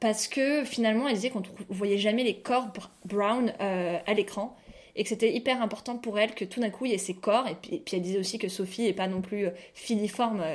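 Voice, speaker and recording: A woman talks at a fairly quick pace in an unremarkable speaking voice pitched fairly high. The recording is very clean, with a silent background. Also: ordinary pitch variation. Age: 20s. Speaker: podcast co-host, journalist. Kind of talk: casual chat.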